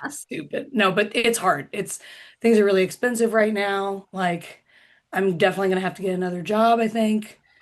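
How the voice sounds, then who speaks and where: Against a quiet background, a woman with an American accent talks at a fairly quick pace in a normal speaking voice, medium in pitch with ordinary pitch variation. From US Midwest, Indiana. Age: 30s. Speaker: comedian. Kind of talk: stand-up.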